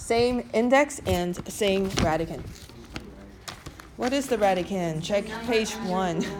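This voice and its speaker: With music in the background and audible room echo, a woman at medium pitch speaks at a very slow pace with lively intonation and long, frequent pauses. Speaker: math teacher. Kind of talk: classroom lecture.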